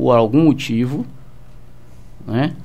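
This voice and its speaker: At a fairly slow pace, a man speaks at a medium pitch with ordinary pitch variation, with audible room echo. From Salvador, Bahia, Brazil. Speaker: police commander. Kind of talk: radio interview. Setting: radio studio. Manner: halting, many fillers.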